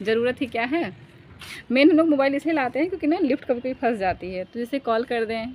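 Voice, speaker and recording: High in pitch, a woman speaks at a moderate pace with lively intonation. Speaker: vlogger. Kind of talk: casual vlog storytelling. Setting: rooftop, outdoors. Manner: halting, with fillers.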